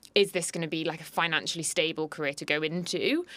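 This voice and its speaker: A woman with a British accent speaks at a very fast pace in a fairly low voice. The recording is very clean, with a silent background. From London, England. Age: 20s. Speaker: equine vet. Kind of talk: interview.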